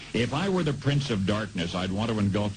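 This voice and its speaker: There is noticeable background noise behind this man. He speaks with an American accent and lively intonation. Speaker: radio commentator. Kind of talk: radio commentary.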